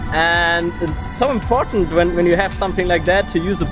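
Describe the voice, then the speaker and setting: Over clear background music, the speech comes at a fairly quick pace with a dry sound and no echo. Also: man. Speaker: travel vlogger. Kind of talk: casual vlog chat. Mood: cheerful, smiling. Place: boat. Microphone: phone near.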